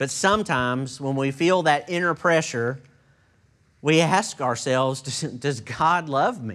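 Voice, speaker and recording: Fairly high in pitch, a man speaks at a fairly slow pace with lively intonation. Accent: Texan. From Texas. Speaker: pastor. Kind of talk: sermon. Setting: church.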